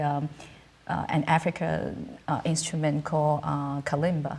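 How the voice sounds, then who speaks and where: A woman's very deep, low, somewhat breathy voice in a Cantonese accent at a moderate pace. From southern China, Canton. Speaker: musician. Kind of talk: interview. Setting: studio. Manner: halting, many fillers.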